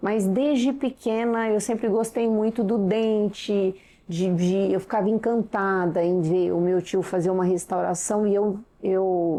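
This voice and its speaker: Over a quiet background, a woman with a medium-pitched, dark, mellow tone talks at a fairly slow pace with fairly even intonation. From interior of São Paulo state, Brazil. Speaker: dentist. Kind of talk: interview.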